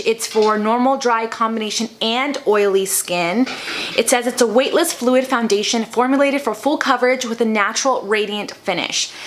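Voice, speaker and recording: Her pitch is high, and her loudness stays very even as this woman talks at a fairly quick pace. Pitch variation is ordinary, and there is noticeable background noise. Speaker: beauty vlogger. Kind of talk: makeup tutorial. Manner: stumbling over words.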